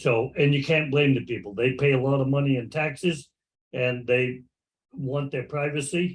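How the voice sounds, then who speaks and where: At a moderate pace, a man talks in a somewhat breathy voice with a fairly high pitch. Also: ordinary pitch variation. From Maine. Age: 80s+. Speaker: clam digger. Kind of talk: casual chat.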